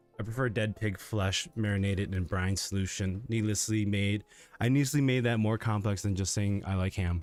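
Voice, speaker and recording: A quiet man's voice, fairly low in pitch, with very even loudness and fairly even intonation. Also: moderate pace. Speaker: livestreamer. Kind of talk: casual livestream chat.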